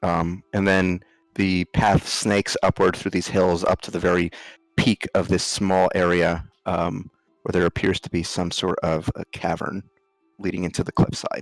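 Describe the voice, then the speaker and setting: With an American accent, a man speaks in a very deep, low voice with monotone, flat intonation and a dry, close sound with no echo. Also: moderate pace. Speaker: game master of a tabletop role-playing game. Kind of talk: narration of a tabletop role-playing game. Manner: hesitant, many ums.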